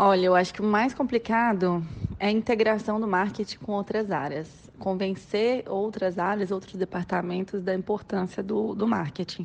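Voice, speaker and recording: At a moderate pace, a woman talks at medium pitch with fairly even intonation. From Brazil, Minas Gerais. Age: 20s. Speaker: marketing manager. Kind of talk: interview. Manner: halting, many fillers.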